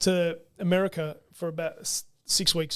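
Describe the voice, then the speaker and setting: This is a man speaking. He has an Australian accent. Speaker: football coach. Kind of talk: casual chat. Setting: studio.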